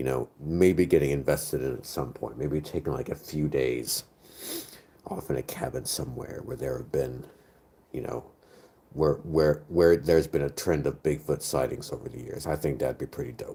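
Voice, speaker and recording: Very deep and low in pitch, a man with an American accent speaks at a moderate pace in a dark, mellow tone with vocal fry and ordinary pitch variation. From United States. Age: 30s. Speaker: streamer. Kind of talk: casual chat. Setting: live stream.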